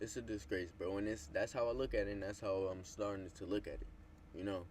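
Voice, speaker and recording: Speaking at a very fast pace, a man with a fairly low, somewhat breathy voice uses ordinary pitch variation. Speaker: streamer / YouTuber. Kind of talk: casual motivational monologue to camera. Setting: alone in front of a camera.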